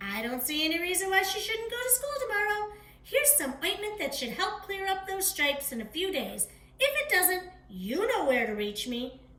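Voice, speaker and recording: Putting on a squeaky character voice, a woman projects at an extremely high pitch with very wide pitch swings at a moderate pace. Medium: read story. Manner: fussy, exclaiming.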